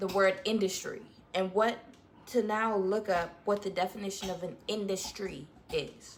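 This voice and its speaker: A woman's medium-pitched voice keeps fairly even intonation as she talks at a moderate pace. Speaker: vlogger. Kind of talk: casual chat.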